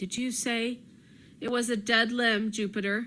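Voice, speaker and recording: A woman puts on a character voice that is fairly high, shaky and anxious in tone, with monotone, flat intonation at a moderate pace. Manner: quavering, anxious.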